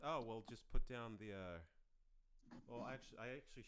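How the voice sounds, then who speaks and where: This man has a very deep, low pitch. He speaks at a very fast pace with lively intonation. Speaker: podcast host. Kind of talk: casual chat. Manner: performed podcast voice; halting.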